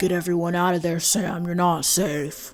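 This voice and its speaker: A put-on character voice at middle pitch goes at a moderate pace over clear music in the background. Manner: urgent, warning.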